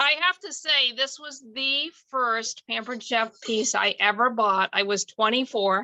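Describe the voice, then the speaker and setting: Pitched high, a woman speaks at a fairly slow pace with ordinary pitch variation and hardly any pauses. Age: 60s. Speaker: longtime customer. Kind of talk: casual chat.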